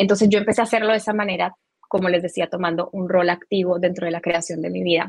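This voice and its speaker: A woman talks at a very fast pace with medium pitch. Her intonation is fairly even. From Colombia. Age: 30s. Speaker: spiritual teacher. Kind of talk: interview.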